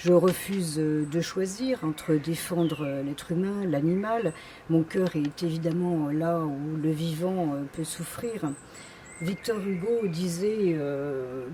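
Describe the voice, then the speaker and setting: Amid noticeable background noise, a woman with a fairly low pitch speaks at a very slow pace with ordinary pitch variation. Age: 60s. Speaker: political candidate. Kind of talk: campaign self-presentation. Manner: hesitant, many fillers.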